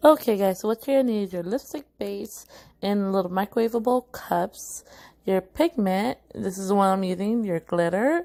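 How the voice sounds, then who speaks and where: Against a quiet background, a woman talks at a moderate pace in a medium pitch with ordinary pitch variation. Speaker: beauty vlogger. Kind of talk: tutorial. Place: home room. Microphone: phone near.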